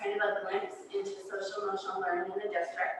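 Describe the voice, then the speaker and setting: A woman's speech, with ordinary pitch variation, carries audible room echo. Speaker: school district administrator. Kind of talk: presentation. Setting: board meeting with audience. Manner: loud.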